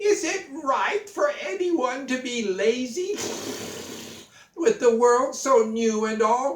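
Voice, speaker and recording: Putting on a character voice, a man talks at an extremely high pitch and a very slow pace. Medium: read story. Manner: indignant.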